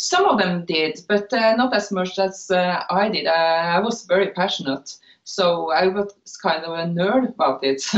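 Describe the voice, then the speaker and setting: A woman's medium-pitched voice with a Norwegian accent. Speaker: knitwear designer. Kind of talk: interview. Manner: halting, many filler uhs.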